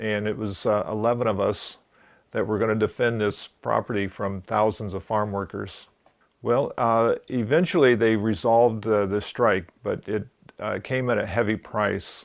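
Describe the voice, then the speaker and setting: A man speaks at a moderate pace with a fairly low pitch and fairly even intonation against a quiet background. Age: 60s. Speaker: retired security officer telling his story. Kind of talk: testimony. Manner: halting, many fillers.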